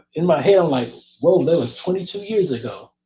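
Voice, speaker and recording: The man speaks at a high pitch. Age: 30s. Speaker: interviewer. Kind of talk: casual chat.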